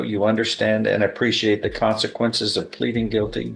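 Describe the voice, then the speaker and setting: Music in the background behind a man's fairly low voice, moving at a moderate pace. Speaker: judge presiding over a plea and sentencing hearing. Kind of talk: formal courtroom proceeding, reading plea admonishments and sentence.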